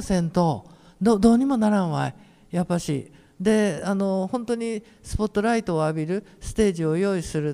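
A man speaks with a high pitch and lively intonation, his tone dark and mellow, on a very clean recording with a silent background. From Imabari, Ehime (Shikoku). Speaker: painter coordinating a community talk event. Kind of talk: casual panel discussion. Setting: public hall with audience.

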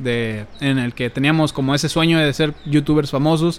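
The speaker has a Mexican accent and a moderate pace. Pitch varies in an ordinary way. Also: man. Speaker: youtuber and podcast co-host. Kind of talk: casual chat. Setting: home, sitting on a bed at a computer.

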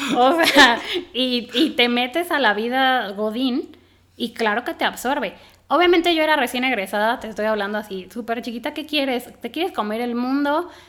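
A woman with a high voice talks at a moderate speed, her pitch moving in an ordinary way. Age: 30s. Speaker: environmental engineer turned soap entrepreneur. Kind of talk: casual chat. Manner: animated.

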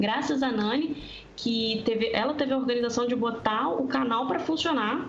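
Over noticeable background noise and audible room echo, a woman talks at a moderate pace in a high voice with ordinary pitch variation. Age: 20s. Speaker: tabletop RPG player. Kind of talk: casual chat.

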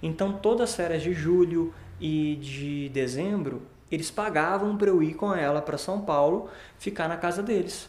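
Audible room echo surrounds a man with a high pitch who talks at a moderate pace with ordinary pitch variation. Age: 20s. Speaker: digital marketing entrepreneur. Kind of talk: podcast interview.

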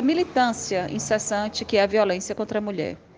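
A woman speaks with ordinary pitch variation. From Northeast Brazil, Pernambuco (Caruaru). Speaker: activist. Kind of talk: recorded voice message.

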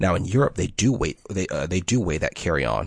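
Over a quiet background, a man talks at a fairly quick pace with vocal fry and ordinary pitch variation. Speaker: podcast co-host. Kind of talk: casual chat.

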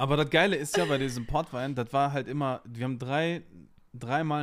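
Captured on a very clean recording with a silent background, a man talks at a fairly high pitch with ordinary pitch variation. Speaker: podcast co-host. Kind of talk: casual chat. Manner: animated.

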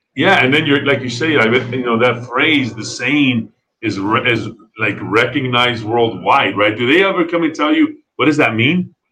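At a moderate pace, the speaker uses a plain, everyday voice with ordinary pitch variation and an American accent. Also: man, medium pitch for a man. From Texas (El Paso). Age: 40s. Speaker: podcast host. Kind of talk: casual interview. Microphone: bad internet connection.

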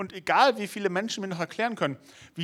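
The tone is animated. It is a very clean recording with a silent background. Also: man. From Lower Saxony, Germany. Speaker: youth preacher. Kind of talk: sermon.

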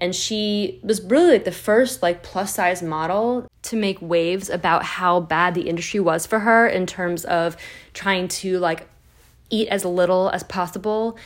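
With a normal speaking voice, a woman of medium pitch talks at a fairly slow pace with fairly even intonation. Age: 30s. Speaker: wellness podcast host. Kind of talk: personal monologue.

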